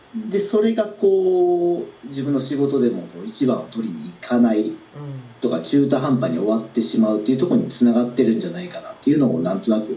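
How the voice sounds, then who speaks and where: Noticeable background noise and audible room echo around fairly quick speech with very wide pitch swings. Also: man, medium pitch for a man. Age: 30s. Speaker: self-employed business owner. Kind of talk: coaching session. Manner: hesitant.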